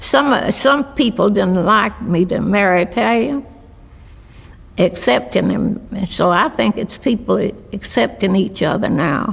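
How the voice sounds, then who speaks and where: Over noticeable background noise, a woman in an Appalachian accent talks at a fairly slow pace in a medium pitch, her pitch swinging very widely. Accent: Appalachian Southern US. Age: 90s. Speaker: restaurant owner. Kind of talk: interview. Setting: video interview. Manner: halting.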